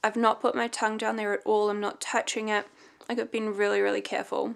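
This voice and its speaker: A woman speaking at a very fast pace, on a very clean recording with a silent background. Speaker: vlogger. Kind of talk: casual vlog talk. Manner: restricted mouth movement.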